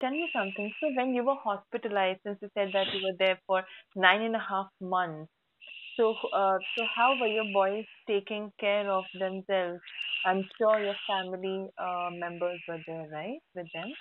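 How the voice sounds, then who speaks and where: A woman with an Indian accent speaks at a moderate pace in a medium pitch with ordinary pitch variation. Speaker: podcast host. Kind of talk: interview.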